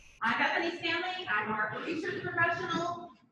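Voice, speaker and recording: An extremely high-pitched woman's voice with an American accent, very wide pitch swings and audible room echo. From US East Coast. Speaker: university professor. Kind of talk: lecture. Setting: classroom. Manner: fast.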